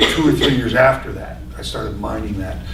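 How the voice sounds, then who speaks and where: With audible room echo and noticeable background noise around him, a man talks at a moderate pace. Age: 60s. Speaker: poet and author. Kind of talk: panel discussion at book event. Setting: public library with audience. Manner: halting, many false starts.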